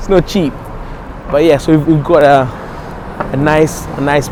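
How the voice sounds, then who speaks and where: A man with an African accent talks at a moderate pace in a fairly high, monotone voice with flat intonation. Noticeable background noise sits behind him. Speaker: nightclub and restaurant owner. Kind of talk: casual interview.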